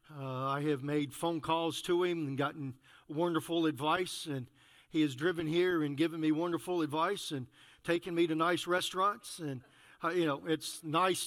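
This is a man with a normal speaking voice, fairly high in pitch, at a moderate pace with fairly even intonation. The recording is very clean with a silent background. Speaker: pastor. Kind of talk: prayer and church announcements. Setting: church.

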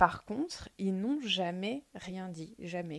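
A woman speaks at a fairly low pitch with lively intonation. The recording is very clean, with a silent background. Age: 30s. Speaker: podcast guest sharing personal experience. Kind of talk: personal testimony interview. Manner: hesitant, frequent fillers and repetitions.

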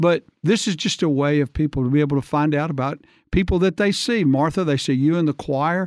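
With an Alabama accent, a man talks at a fairly quick pace and fairly high pitch, with ordinary pitch variation and very even loudness, in a dry, close sound with no echo on a very clean recording with a silent background. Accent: Southern US (Alabama). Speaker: church podcast host. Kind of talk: casual interview.

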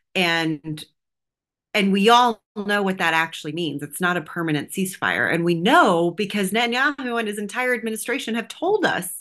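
Woman at medium pitch with an American accent, lively intonation and a moderate pace, an unremarkable speaking voice. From Texas, US. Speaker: political strategist and activist. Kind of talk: interview.

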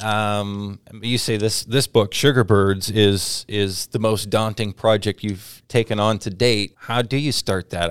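In a normal speaking voice, a man with an American accent talks at a fairly low pitch with ordinary pitch variation, over a very clean recording with a silent background. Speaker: radio host. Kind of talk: radio interview.

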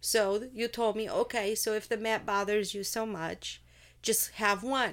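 In a very clean recording with a silent background, a woman with a Portuguese accent speaks at a fairly slow pace. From Portugal. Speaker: host's wife, bank employee. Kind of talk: casual chat.

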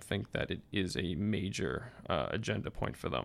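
A man with vocal fry and fairly even intonation, on a very clean recording against a silent background. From Massachusetts, US. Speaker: graduate policy student. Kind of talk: casual interview.

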